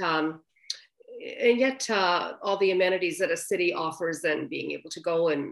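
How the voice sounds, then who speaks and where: A woman at medium pitch in an ordinary speaking voice, with lively intonation and a fairly quick pace. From Canadian Maritimes. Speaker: author. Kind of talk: interview. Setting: video call.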